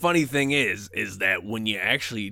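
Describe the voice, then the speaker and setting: A gravelly, raspy put-on character voice moves at a moderate pace. The recording is very clean, with a silent background. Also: man. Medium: actual play. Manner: gruff, teasing.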